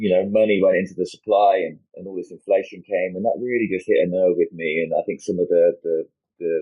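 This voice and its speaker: This man, speaking with a British accent, keeps a fairly quick pace. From United Kingdom. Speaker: crypto industry executive. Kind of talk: interview. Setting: livestream video call. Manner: halting, many fillers.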